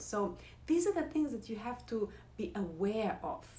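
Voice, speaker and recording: Lively intonation marks this woman's speech, in a non-native accent. Audible room echo surrounds her voice. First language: not English. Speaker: yoga and meditation teacher; former pianist. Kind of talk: casual talk to camera, live. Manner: loud.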